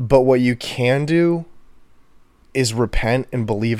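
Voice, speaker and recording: Speaking at a fairly slow pace, this man has an American accent. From Texas, Houston. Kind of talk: casual chat. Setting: home, on a couch.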